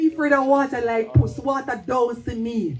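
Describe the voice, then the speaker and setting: This woman talks at a fairly slow pace with a Jamaican accent. Her pitch sits fairly high. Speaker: poet. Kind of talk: storytelling performance.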